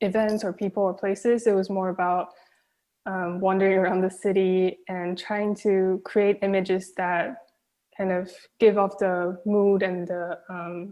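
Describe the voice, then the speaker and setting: A woman with a Chinese accent speaks at a fairly slow pace and a medium pitch. Her intonation is monotone and flat. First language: Mandarin Chinese. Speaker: film director. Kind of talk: Q&A interview.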